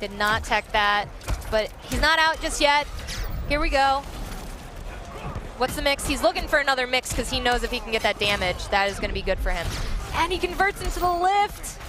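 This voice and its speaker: Against clear music in the background and a dry sound with no echo, a man with an extremely high pitch speaks at a fairly quick pace, using very wide pitch swings and long, frequent pauses. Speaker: esports fighting game commentator. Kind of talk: live esports match commentary. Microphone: headset.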